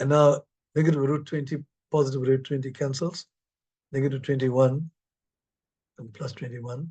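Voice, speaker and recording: A man with a fairly high pitch speaks in a dark, mellow, somewhat breathy tone, with flat, monotone intonation. His loudness swings widely, and he leaves long, frequent pauses. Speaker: mathematics professor. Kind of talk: lecture. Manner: fast.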